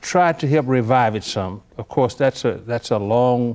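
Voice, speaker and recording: With a Memphis accent, a man speaks at a very slow pace in a medium pitch with ordinary pitch variation. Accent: Southern US (Memphis). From Memphis, Tennessee. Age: 80s+. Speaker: retired labor leader. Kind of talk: interview. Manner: halting.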